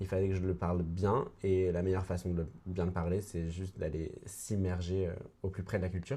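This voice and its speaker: Over a quiet background, a man talks at a fairly quick pace in a very deep, low voice that is dark, mellow and somewhat breathy, with fairly even intonation. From France, Mayenne (western France near Brittany). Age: 20s. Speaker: actor and writer. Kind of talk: podcast interview.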